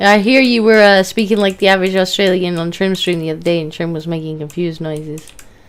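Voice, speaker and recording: A woman's medium-pitched voice at a very fast pace with hardly any pauses, ordinary pitch variation, and noticeable background noise. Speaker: gaming streamer guest. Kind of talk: casual chat.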